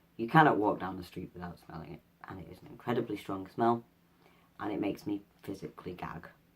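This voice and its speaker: Speaking at a very fast pace in a Mancunian accent, a man has a fairly low, somewhat breathy voice. His loudness swings widely. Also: ordinary pitch variation. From Manchester, England. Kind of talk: casual vlog. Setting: at home, in pajamas.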